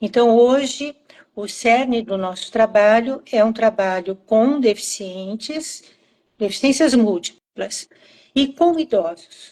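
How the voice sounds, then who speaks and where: Very slow and dark, mellow in tone, a woman's fairly high voice moves with ordinary pitch variation. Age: 70s. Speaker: psychomotor therapy professor. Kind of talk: live-stream interview. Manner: hesitant, with repeated words.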